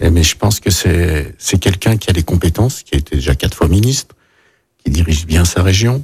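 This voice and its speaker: A man with a very deep, low pitch, somewhat breathy, at a moderate pace with lively intonation and very even loudness. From France, Lyon. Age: 50s. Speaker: chef and mayoral candidate. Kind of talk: radio interview.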